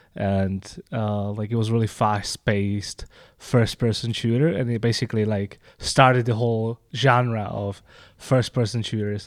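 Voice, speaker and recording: On a very clean recording with a silent background, a man with a Czech accent speaks at a fairly slow pace and medium pitch, keeping his intonation fairly even. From Czech Republic. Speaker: game designer and Twitch streamer. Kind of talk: casual chat.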